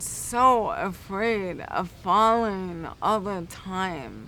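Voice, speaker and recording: A woman's bright, sharp tone with ordinary pitch variation and audible room echo. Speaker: guide dog applicant. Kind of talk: interview.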